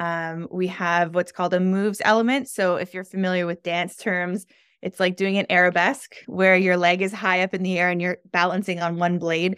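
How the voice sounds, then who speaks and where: A woman's plain, everyday voice with a Canadian accent, medium in pitch, at a moderate pace, in a very clean, silent recording with a dry, close sound and no echo. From Canada, Toronto area. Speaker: podcast host and skating organization founder. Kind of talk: interview.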